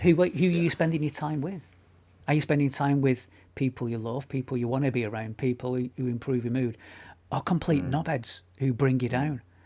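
A man with a northern English accent, dark and mellow in tone, medium in pitch with ordinary pitch variation, at a fairly quick pace, in a very clean recording with a silent background. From northern England. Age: middle-aged. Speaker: podcast co-host. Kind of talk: casual chat. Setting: home studio.

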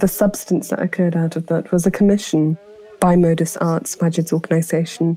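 A woman with a British accent at a moderate pace, fairly low in pitch and monotone and flat in intonation, with noticeable background noise. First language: Potwari. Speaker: poet and translator. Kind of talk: reflective interview narration.

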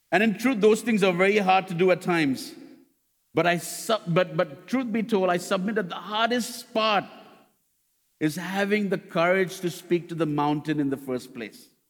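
A man talks at a moderate pace in a high-pitched voice. His pitch varies in an ordinary way. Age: 30s. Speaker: pastor. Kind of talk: Sunday church sermon, earnest preaching that builds through repeated rhetorical questions. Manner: halting and self-correcting, stumbling restarts and doubled words; emphatic, repetitive preaching cadence.

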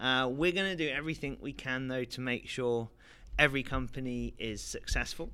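A man with an English accent, medium pitch, ordinary pitch variation and a bright, sharp tone, at a moderate pace on a very clean recording with a silent background. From London, England. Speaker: startup investor. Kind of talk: interview. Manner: hesitant, many fillers.

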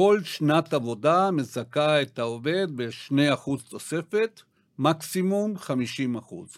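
Man with fairly high pitch and a South American accent, lively intonation, very slow pace, very clean recording with a silent background. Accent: South American accent in Hebrew. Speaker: retirement financial planner. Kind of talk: podcast interview. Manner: halting, many fillers.

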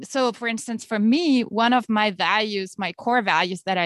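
With a German accent, a woman speaks at a moderate pace and fairly high pitch, her pitch varying in an ordinary way, in a dry, close recording with no echo and a quiet background. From Germany. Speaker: author and teacher. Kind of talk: interview.

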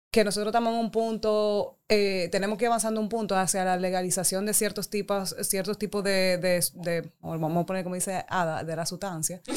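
An unremarkable speaking voice keeps a moderate pace and shows ordinary pitch variation. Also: woman. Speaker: guest with background in international development and politics. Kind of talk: casual chat.

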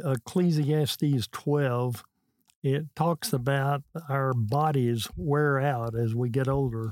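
Recorded dry and close with no echo, a man with an American accent talks at a very slow pace and keeps his loudness very even. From Texas. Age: 80s. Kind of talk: casual interview conversation.

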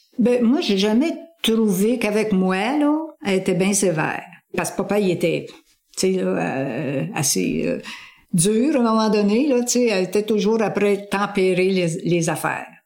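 A woman speaks at a medium pitch and a fairly slow pace, with lively intonation and very even loudness. Audible room echo surrounds her voice. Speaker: family member interviewee. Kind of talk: interview.

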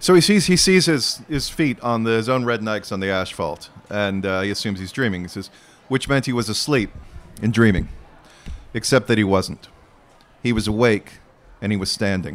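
This man has a fairly low pitch and lively intonation. He moves at a moderate pace, with long, frequent pauses. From Arizona. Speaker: novelist. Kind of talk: onstage interview. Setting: outdoor festival stage with audience.

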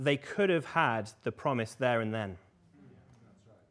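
A man with an English accent, at a moderate pace, with ordinary pitch variation. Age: 20s. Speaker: preacher. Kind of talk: sermon.

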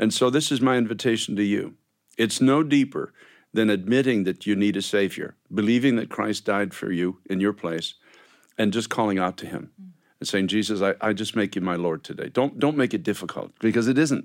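On a very clean recording with a silent background, a man speaks in a plain, everyday voice. His pitch is fairly low, his pace fairly quick, and his pitch variation ordinary. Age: 60s. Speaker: Bible school leader and radio host. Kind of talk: interview with guests, ends with sign-off. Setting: studio.

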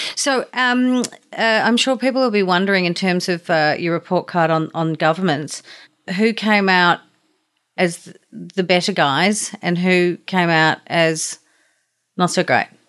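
This woman speaks fairly slowly in an Australian accent. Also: medium pitch for a woman, ordinary pitch variation, quiet background. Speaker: podcast host. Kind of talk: interview.

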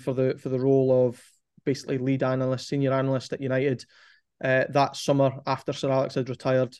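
Medium pitch from a man, delivered in a monotone, flat intonation. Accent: Scottish. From Scotland, Forfar (Angus). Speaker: football performance analyst. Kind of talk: casual interview chat.

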